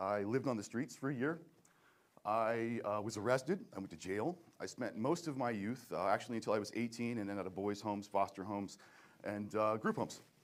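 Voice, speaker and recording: A man's medium-pitched voice with an American accent and ordinary pitch variation. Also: fairly quick pace. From Seattle, US Pacific Northwest. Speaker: entrepreneur, event promoter. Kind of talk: personal story talk. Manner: fast; hesitant, many fillers and restarts.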